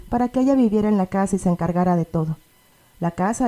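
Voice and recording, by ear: Someone is reading aloud in a natural voice.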